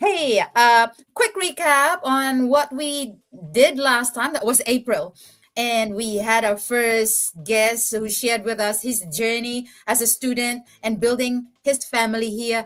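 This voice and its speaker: A woman speaks loudly at a very slow pace, her high pitch showing ordinary variation. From Philippines. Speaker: podcast host. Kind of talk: casual chat. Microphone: too quiet, far from mic.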